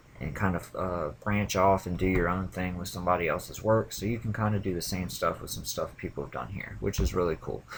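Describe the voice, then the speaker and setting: Vocal fry marks a man's very deep, low voice with ordinary pitch variation. He talks at a fairly quick pace with hardly any pauses. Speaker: programming video creator. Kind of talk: screencast demo. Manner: casual, with filler words.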